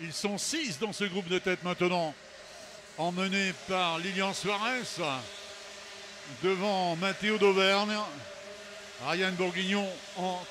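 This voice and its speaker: A man's high pitch, fairly even intonation and very slow pace, with noticeable background noise. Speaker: race commentator. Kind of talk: live commentary.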